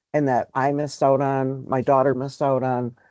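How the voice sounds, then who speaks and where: A woman at a moderate pace. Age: 50s. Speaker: Native community dance program organizer. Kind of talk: interview. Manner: hesitant with frequent fillers.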